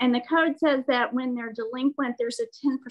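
Over a quiet background, a woman speaks in a high pitch with ordinary pitch variation. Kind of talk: staff report at meeting. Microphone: video call.

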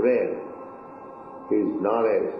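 There is light background noise and audible room echo. A man speaks at a fairly slow pace. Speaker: religious teacher. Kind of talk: spiritual talk, interview answer. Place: home room. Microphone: old recording.

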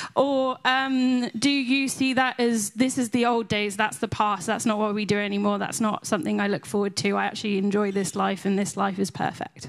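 Against a quiet background, a woman talks at a moderate pace with hardly any pauses, her fairly high voice showing ordinary pitch variation, a plain, everyday voice. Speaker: audience member. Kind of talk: audience Q&A. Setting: conference hall. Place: hall. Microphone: handheld.

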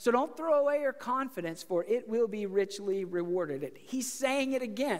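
Over a quiet background, a man talks in an extremely high pitch at a moderate pace. His pitch variation is ordinary. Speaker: preacher. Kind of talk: sermon. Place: church.

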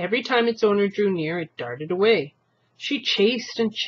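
An unforced reading voice over a quiet background

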